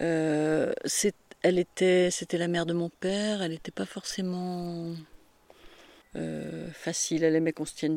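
A woman with a fairly low pitch speaks in a flat monotone, her tone dark and mellow, in a dry, close recording with no echo. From rural France, farm upbringing. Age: 60s. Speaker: retired farm-raised woman telling her life story. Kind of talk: casual interview, life story. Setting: at her home.

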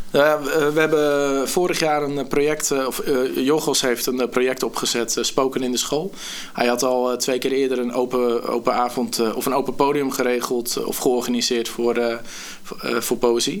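With noticeable background noise behind him, a man of medium pitch speaks at a moderate pace with fairly even intonation. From Netherlands, Gorinchem. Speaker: youth care worker and spoken word poet. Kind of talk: casual chat.

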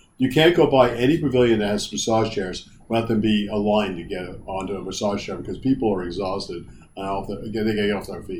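A man talks at a fairly quick pace, his pitch fairly low with ordinary variation. His tone is slightly mellow, and room echo is audible.

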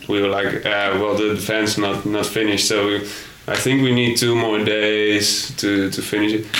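A man with a Dutch accent speaks at a moderate pace and a fairly low pitch, his intonation monotone and flat. His loudness stays very even over noticeable background noise. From Netherlands. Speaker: backpacker. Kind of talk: casual chat. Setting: hostel in Thailand.

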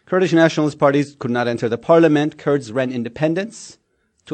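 A fairly high-pitched man with a Turkish accent, very fast pace and ordinary pitch variation. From Turkey, Istanbul. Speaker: think tank scholar. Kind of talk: panel talk.

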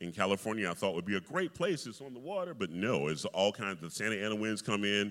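Very fast and fairly low-pitched, a man talks with an American accent, lively intonation and big swings in loudness. The recording is very clean, with a silent background. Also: hardly any pauses. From US South. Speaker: opera singer. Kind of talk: interview in front of a live audience. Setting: stage with audience. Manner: animated.

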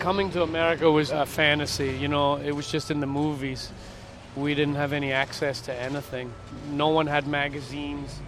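Over noticeable background noise, a man with a fairly high pitch talks at a fairly quick pace in a monotone, flat intonation. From Scotland, Edinburgh. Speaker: skate shop owner. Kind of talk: interview monologue. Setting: outdoors in a backyard. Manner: casual, conversational.

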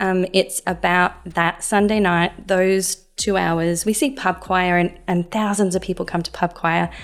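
Over a very clean recording with a silent background, a woman in an Australian accent speaks at medium pitch with monotone, flat intonation, a fairly slow pace and hardly any pauses. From Adelaide, South Australia. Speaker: church music minister. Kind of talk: interview. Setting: studio.

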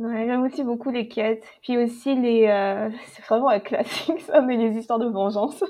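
A woman speaks at a moderate pace with a fairly high pitch and ordinary pitch variation. Her loudness swings widely, and there is noticeable background noise. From French Caribbean (Antilles). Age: 20s. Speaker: novelist. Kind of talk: casual roundtable discussion.

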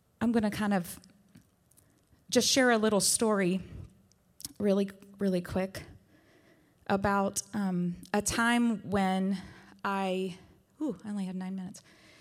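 In a very clean recording with a silent background, a woman with an American accent talks at a fairly slow pace in a medium pitch, her intonation fairly even and her speech broken by long, frequent pauses. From West Virginia. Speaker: worship leader. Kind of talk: sermon. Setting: church.

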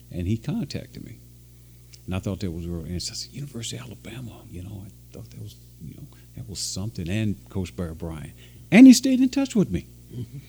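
A man with a very deep, low pitch and a dark, mellow tone speaks very fast, with vocal fry and very wide pitch swings. His loudness swings a lot, and he takes long, frequent pauses. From western Kentucky. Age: 60s. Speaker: former college football player. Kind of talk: interview.

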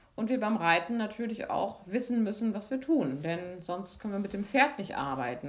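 Pitched fairly high, a woman with a plain, everyday voice shows ordinary pitch movement as she talks. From Lübeck, northern Germany, raised from 14 in Freiburg. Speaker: physiotherapist and movement teacher. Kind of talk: guided movement lesson; interview. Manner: calm, slow instructional.

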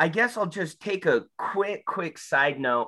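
A man with an American accent, a bright, sharp tone and lively intonation, against a quiet background. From Utah, Salt Lake area. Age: 30s. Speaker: person in addiction recovery. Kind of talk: personal testimony. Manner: hesitant, many filler ums.

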